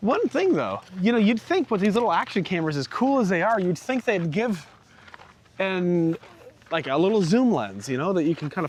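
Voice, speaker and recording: Over noticeable background noise, a man talks loud and at a fairly quick pace with a high pitch. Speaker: RV vlogger. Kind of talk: casual chat. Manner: animated.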